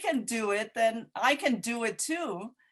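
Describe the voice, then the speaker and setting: A woman's voice with a Cantonese accent and very wide pitch swings, over a quiet background. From Hong Kong. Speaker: poet and playwright. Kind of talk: Q&A discussion. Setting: video call.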